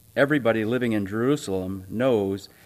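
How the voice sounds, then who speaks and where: A man with a fairly low pitch, a normal speaking voice and ordinary pitch variation. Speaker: church announcer and scripture reader. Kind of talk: church announcements and reading aloud. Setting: church.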